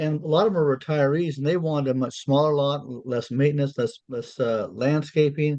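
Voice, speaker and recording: A man with an American accent speaks at a fairly quick pace and a fairly high pitch. His tone is dark and mellow, with ordinary pitch variation. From Arizona. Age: 60s. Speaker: committee member and developer. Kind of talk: public meeting discussion. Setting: town committee meeting. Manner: halting.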